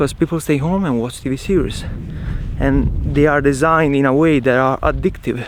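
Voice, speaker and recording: Speaking with an Italian accent, a man with fairly high pitch keeps a moderate pace and fairly even intonation. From Italy. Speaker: travel vlogger. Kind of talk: casual vlog monologue. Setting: outdoors.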